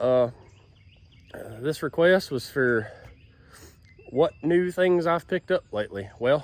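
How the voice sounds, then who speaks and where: A loud man with fairly high pitch and lively intonation, at a very slow pace with long, frequent pauses. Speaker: YouTube chainsaw hobbyist. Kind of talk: casual vlog. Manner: a little loud.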